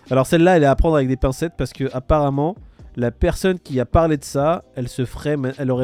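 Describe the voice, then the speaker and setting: Speech comes at a fairly quick pace. Its tone is dark and mellow. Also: man. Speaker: crypto streamer. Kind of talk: casual chat. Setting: livestream. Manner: animated.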